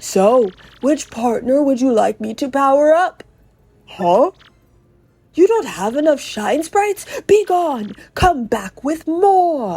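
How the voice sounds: A female-sounding, put-on character voice at a fairly slow pace.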